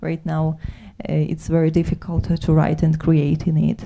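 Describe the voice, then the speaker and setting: Noticeable background noise accompanies a woman speaking with a Ukrainian accent. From Ukraine. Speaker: soldier and poet. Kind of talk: panel talk. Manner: halting.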